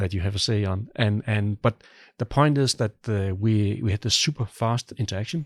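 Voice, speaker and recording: With a Danish accent, a man with a fairly low voice speaks at a moderate pace with ordinary pitch variation, in a very clean, dry, close recording with no echo and a silent background. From Denmark. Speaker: product manager. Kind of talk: casual interview. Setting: listening room.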